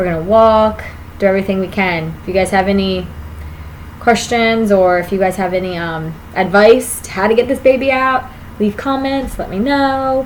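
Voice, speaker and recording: With audible room echo and noticeable background noise, the speech moves at a moderate pace and its pitch varies in an ordinary way. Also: woman. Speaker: vlogger, expectant mother. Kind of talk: casual vlog monologue.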